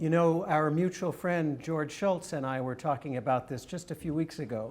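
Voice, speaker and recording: A man with an American accent speaks at a moderate pace. His voice is fairly high, with ordinary pitch variation. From California. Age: 60s. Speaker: neuroscientist and author. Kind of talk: interview. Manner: hesitant fillers.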